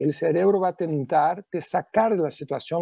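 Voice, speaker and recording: A man with a high pitch, ordinary pitch variation and a dark, mellow tone, in a dry, close sound with no echo. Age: 50s. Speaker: neuro-linguistic programming practitioner. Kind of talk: TV talk show interview.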